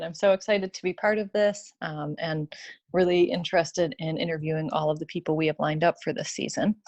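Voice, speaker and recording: A woman with a Chicago accent speaks at a fairly quick pace and fairly low pitch, recorded with a dry, close sound, no echo and a quiet background. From Chicago, US Midwest. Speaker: orthodontist, podcast co-host. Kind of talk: podcast chat.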